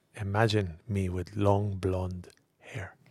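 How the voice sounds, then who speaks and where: A somewhat breathy male voice on a very clean recording, silent in the background, with a dry, close sound and no echo. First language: not English. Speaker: podcast host. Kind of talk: comedic casual chat.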